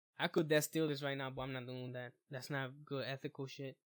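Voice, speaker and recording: In a New York accent, the speaker talks at a fairly slow pace with monotone, flat intonation, and the sound is dry and close with no echo. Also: man. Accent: New York street accent, self-described. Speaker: web design tutorial youtuber. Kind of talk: screen-recorded tutorial. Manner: casual, informal.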